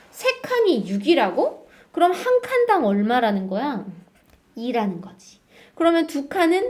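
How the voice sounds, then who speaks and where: A woman speaks at a fairly slow pace in a high, animated voice with very wide pitch swings. Her loudness swings a lot, and the room echo is audible. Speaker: math teacher. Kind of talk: lecture.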